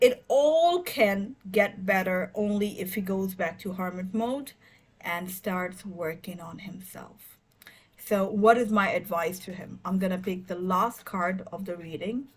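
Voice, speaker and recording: A woman speaks at a fairly slow pace, her voice somewhat breathy. Her pitch moves with ordinary variation. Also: medium pitch for a woman, big swings in loudness. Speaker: tarot reader. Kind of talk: tarot reading monologue. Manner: hesitant, many fillers.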